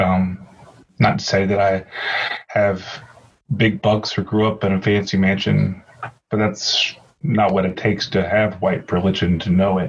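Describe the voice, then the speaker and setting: At a moderate pace, a man speaks with a fairly low pitch, a somewhat breathy sound, very even loudness, monotone, flat intonation and long, frequent pauses. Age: 40s. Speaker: podcast host. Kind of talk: casual chat.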